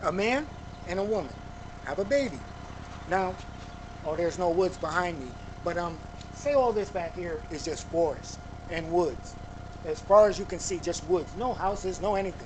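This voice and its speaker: A man with a high voice speaks at a moderate pace with ordinary pitch variation and long, frequent pauses. Audible room echo and noticeable background noise are present. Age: 50s. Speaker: YouTube commentator. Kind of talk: casual monologue.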